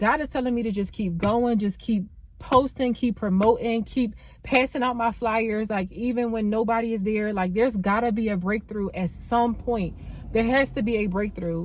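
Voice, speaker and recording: A woman speaks with a fairly high pitch and a somewhat breathy voice. Her intonation is fairly even, and the recording is very clean with a silent background. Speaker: nail tech vlogger. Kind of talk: vlog monologue. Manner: fast.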